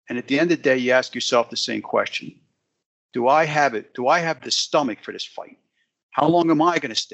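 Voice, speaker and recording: Speaking at a fairly quick pace, a man with an American accent has a fairly high pitch and ordinary pitch variation. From US, rural Pennsylvania. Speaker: business executive and author. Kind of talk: interview.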